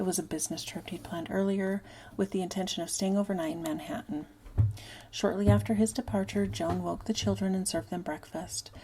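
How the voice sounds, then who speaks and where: A soft-spoken woman talks at a fairly quick pace on a very clean recording with a silent background. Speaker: ASMR true crime / unclaimed persons channel host. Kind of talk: soft-spoken ASMR-style true crime narration. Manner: soft-spoken, casual.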